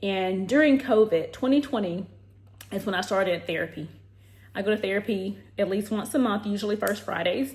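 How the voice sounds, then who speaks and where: Somewhat breathy, a woman speaks at a fairly quick pace. Her medium pitch shows ordinary variation. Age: 30s. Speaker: lifestyle vlogger and health professional. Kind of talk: casual vlog talk to camera.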